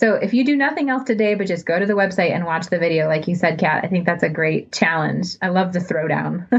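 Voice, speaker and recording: Talking at a very fast pace with hardly any pauses, a woman with an American accent uses lively intonation at a fairly low pitch while noticeable background noise plays behind her. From US Midwest (suburban Ohio). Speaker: nonprofit public relations director. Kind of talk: interview conversation.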